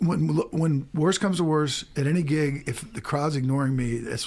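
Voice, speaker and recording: A man with an American accent at a fairly quick pace, pitch swinging very widely, over noticeable background noise. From US Midwest, St. Louis, Missouri. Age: 60s. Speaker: musician. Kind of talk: radio interview.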